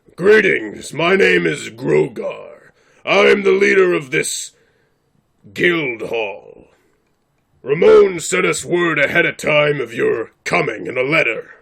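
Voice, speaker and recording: A man uses a raspy, put-on character voice at a fairly slow pace. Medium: actual play. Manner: formal, blunt.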